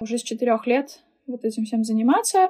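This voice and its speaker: Her voice is high-pitched with a dark, mellow tone, and the woman keeps her intonation fairly even. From Russia, Saint Petersburg. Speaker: linguist and German teacher. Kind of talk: casual chat.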